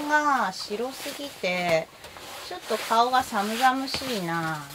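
In a relaxed tone with very wide pitch swings, the voice comes through over light background noise. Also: woman. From Japan. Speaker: kimono vlogger. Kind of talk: casual chat. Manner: chatty, relaxed, laughs often. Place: home room. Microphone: phone near.

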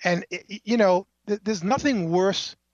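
A plain, everyday voice at a fairly slow pace over a quiet background. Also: man, dry, close sound with no echo. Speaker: journalist. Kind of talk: casual phone chat. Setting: phone call.

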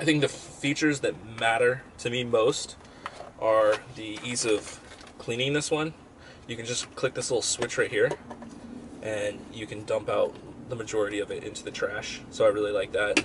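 Noticeable background noise runs under a man speaking at a moderate pace with long, frequent pauses. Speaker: product reviewer. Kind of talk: casual product review. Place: home room. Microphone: webcam.

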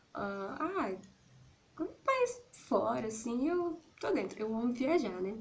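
A woman with a Brazilian accent talks at a very slow pace, her pitch swinging very widely. Light background noise can be heard. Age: 30s. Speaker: YouTuber. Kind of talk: casual vlog monologue. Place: home room. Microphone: phone near.

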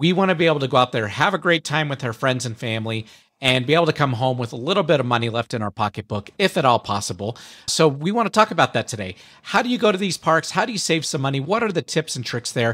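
Over a quiet background, a man rattles along at a very fast pace with very wide pitch swings. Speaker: podcast host. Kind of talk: podcast monologue. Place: home room. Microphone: studio mic.

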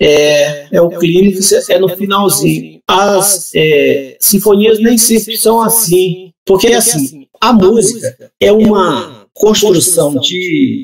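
The speech moves at a very slow pace with very even loudness and ordinary pitch variation. The background is quiet. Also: man, high pitch for a man. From southern Pará, Brazil. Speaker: writer; guest. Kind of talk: casual chat. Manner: halting, many repetitions. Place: home room.

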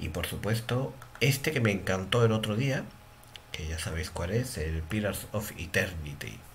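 Over light background noise, a man talks at a fairly slow pace with a fairly low pitch. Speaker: gaming channel host. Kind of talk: casual vlog chat. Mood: relaxed, slightly frustrated. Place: home room. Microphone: headset.

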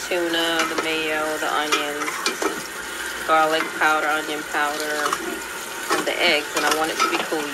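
Loud background noise accompanies speech at a moderate pace. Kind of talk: casual cooking tutorial. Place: kitchen. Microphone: phone near.

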